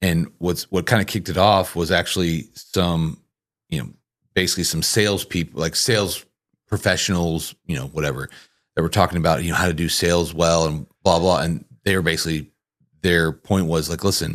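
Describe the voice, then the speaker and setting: On a very clean recording with a silent background, a man with a very deep, low pitch and vocal fry talks at a fairly quick pace with fairly even intonation. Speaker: podcast host and church marketing coach. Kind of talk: casual chat. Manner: fast.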